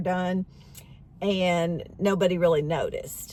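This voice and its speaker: Here is a woman with a plain, everyday voice. Her pitch is medium and her intonation fairly even. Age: 60s. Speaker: beauty vlogger. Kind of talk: casual talk to camera. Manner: conversational, with fillers.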